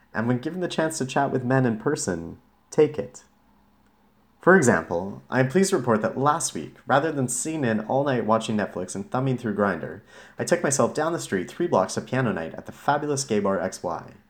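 In a very clean recording with a silent background, a man of medium pitch talks at a fairly quick pace with very wide pitch swings and vocal fry. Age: 30s. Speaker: blogger reading own post. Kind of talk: reading aloud. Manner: casual, conversational.

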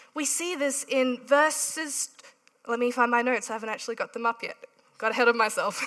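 In a raised, projected voice, the speaker keeps a moderate pace with ordinary pitch variation. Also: woman. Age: 30s. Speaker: preacher. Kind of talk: sermon.

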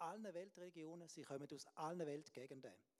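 A man with a high-pitched voice. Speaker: preacher. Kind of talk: sermon.

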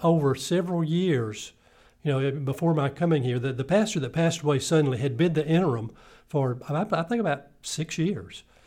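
Lively in intonation and somewhat breathy, a man with a South Carolina accent speaks at a fairly quick pace in a dark, mellow tone on a very clean recording with a silent background. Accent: Southern US (South Carolina). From US South, upstate South Carolina (Greenville). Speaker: retired pastor. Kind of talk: interview.

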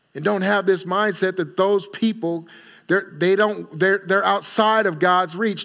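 Over a quiet background, a man speaks at a moderate pace with a high pitch and a bright, sharp tone. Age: 40s. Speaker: pastor. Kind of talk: Sunday sermon with congregational call-and-response, teaching series. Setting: church. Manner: conversational preaching punctuated by repeated call-outs of Amen? for response; informal and exhorting, with self-corrections and repeated words.

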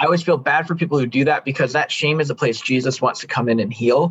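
Here is an unremarkable speaking voice from a man with an American accent. His pitch is medium, with ordinary variation. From Chicago area, US Midwest. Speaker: men's coach and consultant. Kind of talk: personal testimony in interview.

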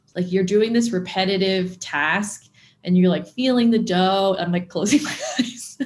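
A somewhat breathy woman speaks with a General American accent and lively intonation. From Southern California. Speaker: food blogger. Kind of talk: interview.

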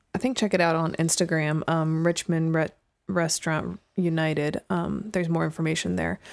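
The speaker has a plain, everyday voice with fairly even intonation at a moderate pace. The background is quiet. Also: woman, fairly low pitch for a woman. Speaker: podcast co-host. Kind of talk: casual chat.

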